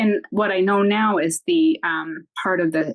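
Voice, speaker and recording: In a Canadian accent, a woman talks at a fairly slow pace with ordinary pitch variation. She has a normal speaking voice. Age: 60s. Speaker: retired teacher with multiple sclerosis. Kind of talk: interview testimony.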